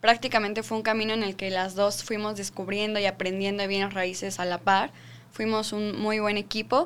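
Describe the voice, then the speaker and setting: A woman's unremarkable speaking voice at medium pitch and a moderate pace. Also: fairly even intonation. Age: 20s. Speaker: real estate sales manager. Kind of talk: casual chat.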